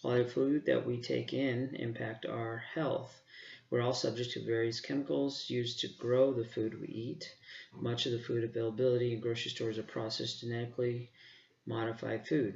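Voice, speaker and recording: A plain, everyday voice from a man at medium pitch, fairly quick pace, fairly even intonation. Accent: American. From Arizona, Phoenix area. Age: 40s. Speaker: park manager and student. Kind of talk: self-introduction.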